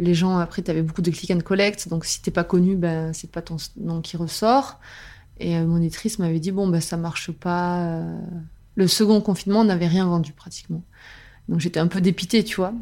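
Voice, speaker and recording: Her voice has a dark, mellow tone and fairly low pitch, and she, a woman, keeps a moderate pace with fairly even intonation. The recording is very clean, with a silent background. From southern France, Albi. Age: 30s. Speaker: novelist. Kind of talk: interview, casual chat. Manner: hesitant, many fillers.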